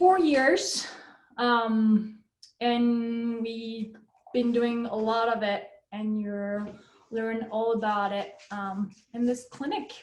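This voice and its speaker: In a French accent, a woman speaks very slowly in a fairly high, somewhat breathy voice with ordinary pitch variation and long, frequent pauses, amid audible room echo. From France. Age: 30s. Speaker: professional climber. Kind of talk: online clinic presentation.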